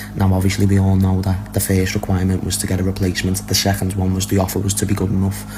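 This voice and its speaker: A man talking at a very fast pace with hardly any pauses, amid audible room echo and noticeable background noise. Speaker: football transfer news commentator. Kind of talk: casual video update.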